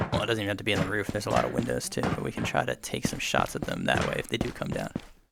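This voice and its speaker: Over noticeable background noise, a man talks at a very fast pace in a fairly low pitch. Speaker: gaming YouTuber. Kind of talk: gameplay commentary. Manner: whispering at times.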